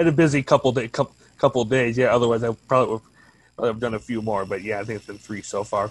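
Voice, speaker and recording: Fairly even in intonation, a man talks at a very fast pace in a dry, close recording with no echo. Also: medium pitch for a man, big swings in loudness. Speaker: caller. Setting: video call.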